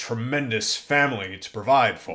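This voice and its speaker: A man's put-on character voice, medium in pitch and moderate in pace. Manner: muttering.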